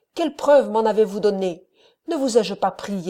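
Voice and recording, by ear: Someone is reading aloud in a natural voice, and the background is quiet.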